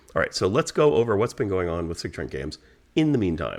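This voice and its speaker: A man speaks quietly. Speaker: game designer. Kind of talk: casual vlog update. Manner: low, quiet tone.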